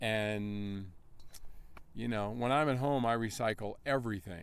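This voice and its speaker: A man talks with an American accent and very even loudness. He has an unremarkable speaking voice. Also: fairly low pitch for a man, ordinary pitch variation, fairly slow pace. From North Carolina. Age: 50s. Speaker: endurance athlete. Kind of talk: interview. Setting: outdoor race event. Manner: casual, conversational.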